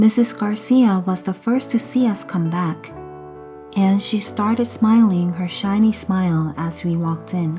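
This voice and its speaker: A soft-spoken woman at medium pitch, calm in tone, at a fairly slow pace with ordinary pitch variation and music in the background. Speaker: mother reading English books aloud to children. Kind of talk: audiobook read-aloud of a children's novel. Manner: soft-spoken, calm.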